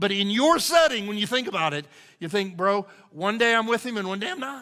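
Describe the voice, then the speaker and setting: Projecting his voice, a man speaks at a fairly quick pace in a high, bright, sharp tone. He sounds animated, with lively intonation. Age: 60s. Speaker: pastor. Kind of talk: sermon.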